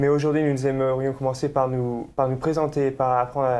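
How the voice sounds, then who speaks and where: Monotone, flat intonation from a man with a dark, mellow tone, medium pitch and a moderate pace. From France, Nantes. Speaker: student co-host of religious show. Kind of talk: casual interview chat.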